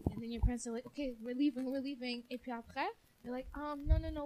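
With noticeable noise behind her, a woman speaks very fast at a high pitch in a flat, monotone delivery. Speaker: podcast host. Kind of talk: casual chat.

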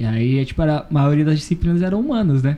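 Lively intonation carries a man's fairly high voice, which has a dark, mellow tone. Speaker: podcast host. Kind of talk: casual chat.

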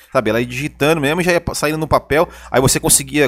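The recording of this man is very clean, with a silent background. The sound is dry and close, with no echo. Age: 30s. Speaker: podcast co-host and commentator, former sales representative. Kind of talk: casual chat. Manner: halting, frequent repetitions.

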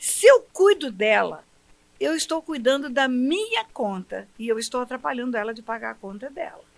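A woman's high voice at a moderate pace. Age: 70s. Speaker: pastor and federal judge. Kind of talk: interview about religion.

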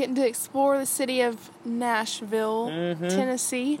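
A woman speaks in a Mississippi accent. Her pitch is high. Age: 20s. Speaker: podcast guest.

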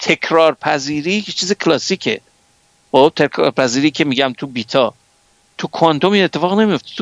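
In a plain, everyday voice with fairly high pitch, a man speaks with a dry, close sound with no echo. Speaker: scientist. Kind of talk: lecture.

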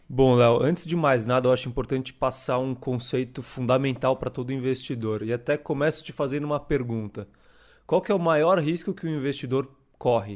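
A man with a medium-pitched voice talks at a fairly quick pace with ordinary pitch variation, on a very clean recording with a silent background. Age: 20s. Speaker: co-host, fund manager. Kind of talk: casual chat.

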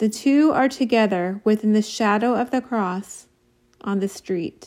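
A woman's fairly high voice at a fairly slow pace with ordinary pitch variation, an ordinary speaking voice. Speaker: audiobook-style reader of devotional text. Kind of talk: dramatic narration, solemn devotional reading aloud. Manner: slow, solemn, reverent, with weighty pauses.

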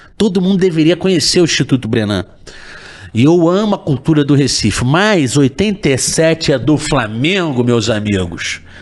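Amid noticeable background noise, a man speaks at a fairly slow pace. His fairly high pitch moves in very wide swings. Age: 40s. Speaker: comedian. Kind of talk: casual chat.

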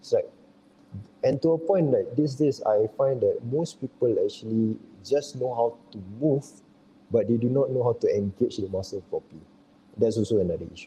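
Somewhat breathy and at medium pitch, a man speaks at a moderate pace with lively intonation and long, frequent pauses. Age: 30s. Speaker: fitness trainer. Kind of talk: casual chat.

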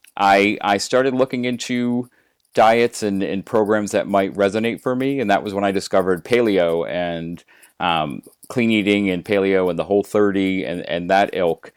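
A man speaks at a moderate pace in fairly low pitch, with ordinary pitch variation. He has an unremarkable speaking voice. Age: 40s. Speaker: weight loss guest. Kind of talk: interview.

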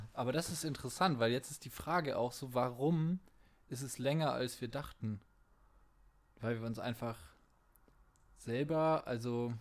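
The speech goes at a fairly slow pace with ordinary pitch variation and long, frequent pauses. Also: man, medium pitch for a man. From Franconia, Bavaria (Fürth district). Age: 20s. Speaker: podcast host, video editor. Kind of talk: casual chat.

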